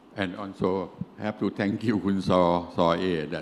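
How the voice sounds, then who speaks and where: Fairly slow pace amid audible room echo. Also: man. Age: 70s. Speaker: engineering company CEO, lecturer. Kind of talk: lecture. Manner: halting, broken English.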